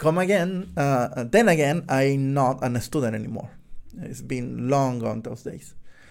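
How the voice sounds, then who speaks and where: A man talks with a Spanish accent at a fairly slow pace. His intonation is lively. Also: medium pitch for a man. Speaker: podcast host, software developer. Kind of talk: solo book review monologue. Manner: halting, many fillers.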